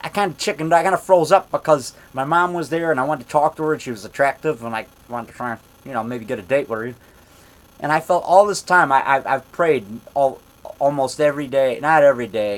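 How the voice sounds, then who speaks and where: A man speaks loudly and very fast in a fairly high pitch, his tone animated and his intonation lively. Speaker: independent monster movie maker and actor. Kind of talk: casual vlog monologue. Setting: indoors at home.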